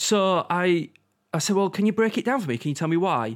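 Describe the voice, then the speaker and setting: A man talks with a Yorkshire accent and lively intonation. His pace is fairly quick. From Yorkshire, England. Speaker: podcast co-host. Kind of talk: casual chat.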